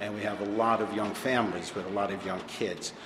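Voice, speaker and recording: Someone with an American accent speaks at a moderate pace in monotone, flat intonation, with noticeable background noise and audible room echo. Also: man. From New Jersey. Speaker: pinball showroom owner. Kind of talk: interview.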